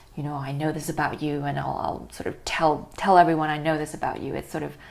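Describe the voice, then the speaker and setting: A woman with a Chinese accent speaks very fast in a very deep, low pitch, her intonation monotone and flat, with vocal fry. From Hong Kong. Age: 20s. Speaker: poet. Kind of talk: casual chat.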